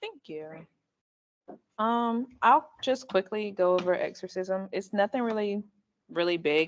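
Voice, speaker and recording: A woman at medium pitch speaks at a fairly slow pace with ordinary pitch variation. Her loudness swings widely, and she takes long, frequent pauses. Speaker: student club member. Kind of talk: presentation.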